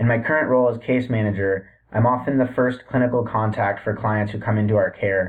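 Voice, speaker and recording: A man's ordinary speaking voice with an American accent, medium pitch, fairly even intonation and a fairly quick pace. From US Northeast (Boston, Massachusetts). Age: 30s. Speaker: student and addiction case manager. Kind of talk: class introduction video. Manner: formal.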